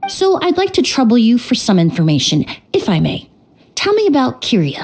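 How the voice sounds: Putting on a character voice, a woman speaks at a moderate pace with a fairly high pitch, very wide pitch swings, a slightly mellow tone and a slightly husky edge.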